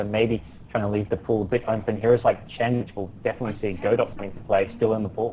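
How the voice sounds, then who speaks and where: This man talks very fast, with an Australian accent. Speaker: pro gamer co-caster. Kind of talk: live commentary. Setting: live stream.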